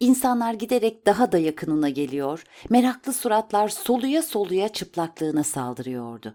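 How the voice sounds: The voice heard is a natural reading voice.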